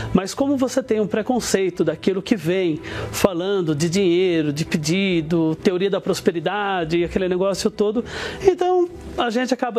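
With music in the background, a man speaks at a moderate pace in a high pitch. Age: 40s. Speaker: business executive giving testimony. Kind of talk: testimony.

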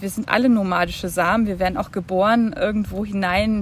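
Against noticeable background noise, a woman speaks at a moderate pace and a fairly high pitch. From Germany, Franconia. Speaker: visual artist. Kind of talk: casual interview. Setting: outdoors in a park. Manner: halting.

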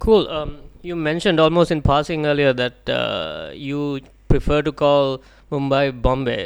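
In a very clean recording over a silent background, someone speaks fairly slowly. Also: man. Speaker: podcast co-host. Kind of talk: podcast interview.

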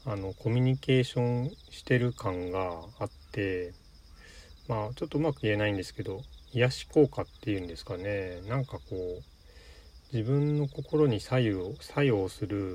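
The voice sounds somewhat breathy, with lively intonation. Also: man, medium pitch for a man, big swings in loudness. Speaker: solo podcaster. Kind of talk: casual solo monologue. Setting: in a car. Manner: rambling with fillers.

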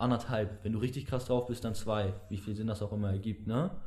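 A man's dark, mellow, somewhat breathy voice at a fairly quick pace. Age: young. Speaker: podcast host. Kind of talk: casual chat.

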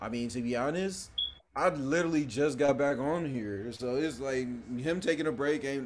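Audible room echo surrounds a man with a fairly high pitch who speaks at a moderate pace with ordinary pitch variation. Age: 20s. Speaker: podcast co-host. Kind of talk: casual chat.

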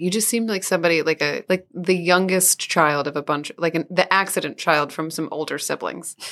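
A woman with an American accent, at a fairly low pitch and in a bright, sharp tone, on a very clean recording with a silent background. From Southeast Missouri. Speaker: podcast co-host. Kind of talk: casual chat.

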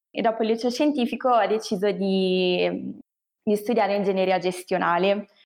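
A woman's plain, everyday voice at medium pitch, with a moderate pace, very even loudness and ordinary pitch variation. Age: 20s. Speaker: management engineer. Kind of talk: interview.

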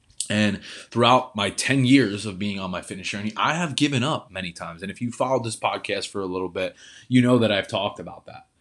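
The speaker goes at a very fast pace with an energetic tone, ordinary pitch variation and big swings in loudness against a quiet background. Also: man, fairly low pitch for a man. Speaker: fitness coach podcast host. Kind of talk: motivational monologue. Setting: home office.

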